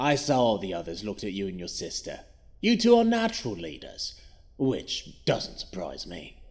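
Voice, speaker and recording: A man at medium pitch puts on a character voice. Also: moderate pace. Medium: audio drama. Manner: taunting, playful, menacing.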